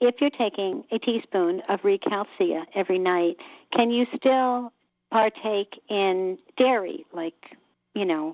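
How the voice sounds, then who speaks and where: A woman speaks very slowly at a medium pitch, her intonation lively. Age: 60s. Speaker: caller. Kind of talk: casual chat. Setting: phone call. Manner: halting.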